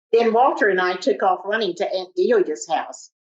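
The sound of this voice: A reading voice, unforced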